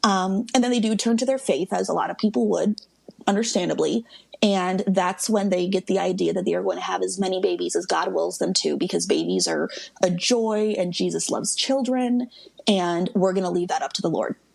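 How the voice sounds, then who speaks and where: Through noticeable background noise, a woman talks at a fairly quick pace in an American accent. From US Midwest. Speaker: guest expert on a reality TV family. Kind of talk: casual podcast interview. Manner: fast.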